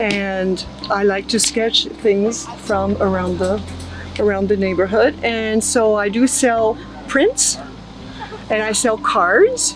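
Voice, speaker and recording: Speaking fairly slowly, a woman has a French accent and a medium pitch. Noticeable background noise and audible room echo fill the recording. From southern France. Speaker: artist. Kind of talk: casual interview. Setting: outdoor festival.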